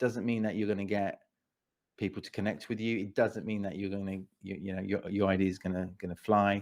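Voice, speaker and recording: Against a quiet background, a man with a southern English accent and a fairly low pitch speaks at a fairly quick pace. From England, Watford. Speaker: speaker and pitch coach. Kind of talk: interview. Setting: podcast. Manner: repetitive, halting with restarts.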